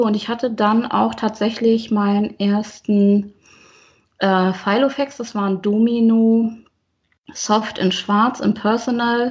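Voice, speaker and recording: A woman's fairly high, somewhat breathy voice at a very slow pace with fairly even intonation, against a quiet background. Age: 40s. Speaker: teacher and planner enthusiast. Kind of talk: casual interview chat.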